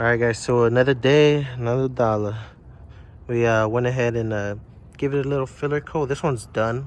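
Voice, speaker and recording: At a fairly quick pace, a man speaks in a normal speaking voice at medium pitch, with fairly even intonation. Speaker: DIY car repair youtuber. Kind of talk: tutorial. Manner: casual.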